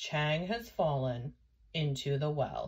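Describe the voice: A woman's low, slow put-on character voice, slightly husky and slightly mellow, with lively intonation.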